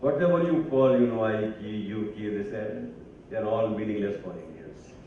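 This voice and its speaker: A man's fairly low voice at a moderate pace, with lively intonation, big swings in loudness, audible room echo and noticeable background noise. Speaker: academic speaker. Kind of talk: speech. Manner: halting.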